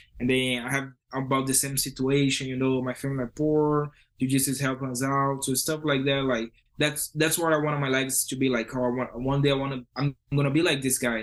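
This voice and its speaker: Using monotone, flat intonation, a man with a strong Brazilian accent speaks at a medium pitch and a fairly quick pace. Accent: heavy Brazilian Portuguese. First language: Portuguese. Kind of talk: interview.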